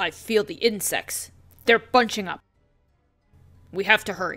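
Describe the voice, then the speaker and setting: Over faint background music, a female-sounding put-on character voice speaks at a medium pitch and a moderate pace. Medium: game stream. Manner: stern, measured, urgent.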